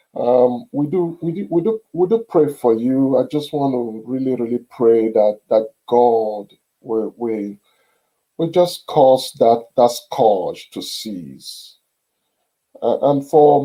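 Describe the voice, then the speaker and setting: A man's medium-pitched voice with a dark, mellow tone, ordinary pitch variation, a non-native accent and a very slow pace. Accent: non-native accent, noticeable. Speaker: video podcast host. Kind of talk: reflective monologue. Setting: studio. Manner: halting, repeats words.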